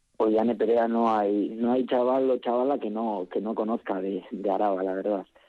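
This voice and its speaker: In a normal speaking voice, a man talks at a medium pitch and moderate pace, with fairly even intonation and hardly any pauses. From Álava, Basque Country. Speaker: bertsolari association representative. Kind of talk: radio interview.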